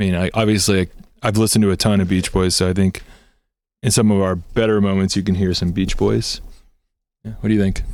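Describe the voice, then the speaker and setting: In a very clean recording with a silent background, a man with a fairly low pitch talks at a fairly quick pace. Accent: Southern California. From Southern California, Torrance. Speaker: punk band member. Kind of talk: casual interview. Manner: casual, filler-heavy.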